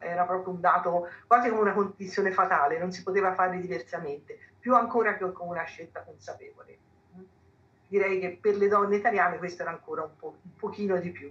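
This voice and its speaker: A woman talks at a fairly quick pace with fairly even intonation and big swings in loudness against noticeable background noise. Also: medium pitch for a woman. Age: 70s. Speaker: history professor. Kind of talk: panel talk.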